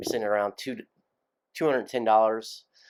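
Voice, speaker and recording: A man's medium-pitched voice in a calm tone, on a very clean recording with a silent background. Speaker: investing YouTuber. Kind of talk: casual investing vlog. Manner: calm, low-key; hesitant, many fillers.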